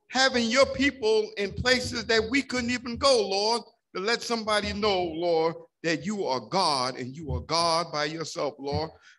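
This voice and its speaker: A man talks fairly slowly in a raised, projected voice with a bright, sharp tone and lively intonation. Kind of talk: spoken prayer. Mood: fervent, grateful. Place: church. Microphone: podium.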